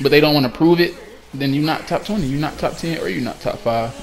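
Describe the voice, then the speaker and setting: A man speaks at a very fast pace in a fairly high pitch. Noticeable background noise runs behind him. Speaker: gaming community organizer. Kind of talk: casual vlog announcement. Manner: loud; animated.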